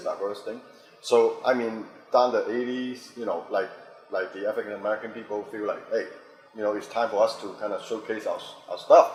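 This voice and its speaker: Music playing behind a man who talks at a brisk clip. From Hong Kong, raised in Boston. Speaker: actor, director, fight choreographer. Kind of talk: interview answer.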